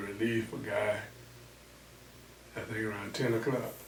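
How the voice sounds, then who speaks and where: A fairly low-voiced man with a Southern US accent, fairly even intonation and a fairly slow pace, amid noticeable background noise. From Louisiana, US. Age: 80s+. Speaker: pastor. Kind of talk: interview answer.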